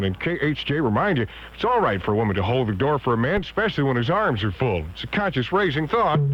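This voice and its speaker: There is noticeable background noise as a man talks at a very fast pace. His pitch sits at a medium level but swings very widely. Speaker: radio disc jockey. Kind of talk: 1970s top-40 radio DJ patter. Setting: radio broadcast, aircheck from 1977.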